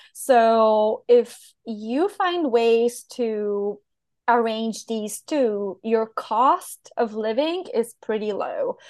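In a Bulgarian accent, a woman speaks at a very slow pace. Her fairly high pitch carries ordinary variation. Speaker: online business manager, digital nomad. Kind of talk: interview conversation.

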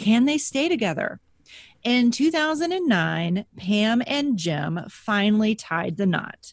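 Against a quiet background, a woman speaks at a very slow pace. Her somewhat breathy voice has very wide pitch swings. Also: fairly high pitch for a woman. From Texas. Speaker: history podcast co-host. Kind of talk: casual chat; scripted narration.

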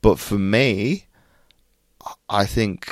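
This is a man speaking. He has an American accent. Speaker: Paralympian and mindset coach. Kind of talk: interview conversation. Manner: halting, many repetitions.

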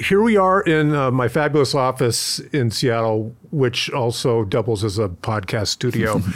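A man with an ordinary speaking voice talks at medium pitch with lively intonation, hardly any pauses and very even loudness. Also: moderate pace. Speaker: podcast host and retail executive. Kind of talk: interview.

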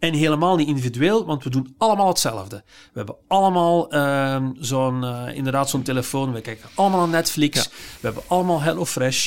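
Recorded very cleanly over a silent background, a man talks at a fairly quick pace and fairly high pitch. His intonation is lively, and his loudness swings widely. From Flanders, Belgium. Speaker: psychiatrist and philosopher. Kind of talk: casual interview.

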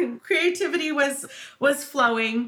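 Noticeable background noise runs under a woman who speaks at a very slow pace. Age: 50s. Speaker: marketing agency co-founder and podcast co-host. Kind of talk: casual chat.

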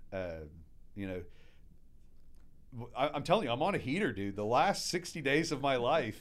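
Very slowly, a man speaks with vocal fry and very wide pitch swings. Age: 40s. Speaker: restaurateur. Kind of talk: casual chat. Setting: studio.

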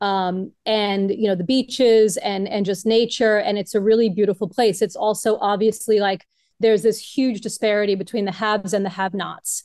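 Speaking in a normal speaking voice with an American accent, a woman talks at a moderate pace and medium pitch, with fairly even intonation, hardly any pauses and a quiet background. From Brooklyn, New York. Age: 50s. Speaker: yoga teacher turned online marketer. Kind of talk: interview.

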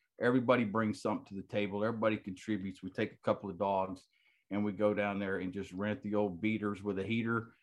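Against a quiet background, a man with an American accent talks at a very fast pace, his loudness swinging widely. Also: fairly low pitch for a man. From Texas. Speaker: retired military medic, waterfowl conservation group president. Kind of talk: casual interview chat. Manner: animated.

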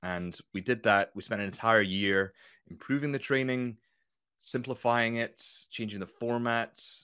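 The tone is bright and sharp. A slight Scottish accent runs through it. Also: man. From Scotland, near Edinburgh. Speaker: business consultant and author. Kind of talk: casual interview chat.

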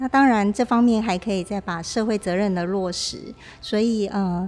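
Music plays in the background as a woman speaks at a moderate pace in a medium pitch with ordinary pitch variation. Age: young. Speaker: arts foundation chairwoman. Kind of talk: interview. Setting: on location, outside the studio.

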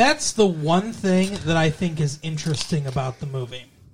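The man's tone is playful. He keeps a moderate pace and ordinary pitch variation. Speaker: podcast host. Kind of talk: casual banter chat. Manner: joking, playful.

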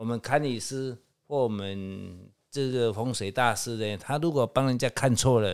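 With a plain, everyday voice, a man speaks at a fairly slow pace and medium pitch, with ordinary pitch variation. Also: very clean recording, silent background. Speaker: feng shui consultant. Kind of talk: casual chat. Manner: filler-heavy, drawn-out particles.

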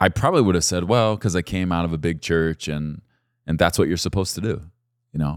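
A man with a very deep, low pitch talks at a very fast pace in a very clean recording with a silent background. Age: 40s. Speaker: pastor. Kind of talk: podcast sermon-style teaching monologue. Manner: casual, conversational.

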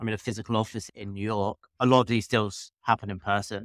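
A man with a British accent speaks with fairly even intonation. The very clean recording is dry and close, with a silent background and no echo. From UK. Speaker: M&A firm founder. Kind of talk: interview.

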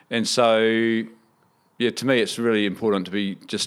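In a New Zealand accent, a man speaks at a moderate pace in a fairly low voice, captured on a very clean recording with a silent background. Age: 40s. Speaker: business founder. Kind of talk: interview.

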